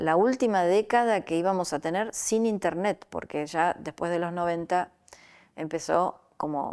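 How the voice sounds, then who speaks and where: With music in the background, a woman speaks at a fairly low pitch with ordinary pitch variation. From Argentina, Rosario. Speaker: artist. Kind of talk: interview. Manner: halting, many fillers.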